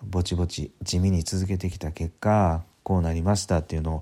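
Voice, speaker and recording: A man speaks with a very deep, low pitch and a dark, mellow tone, somewhat breathy, in a monotone, flat intonation. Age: 50s. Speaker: podcaster and business consultant. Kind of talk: solo podcast talk. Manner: casual, filler-heavy.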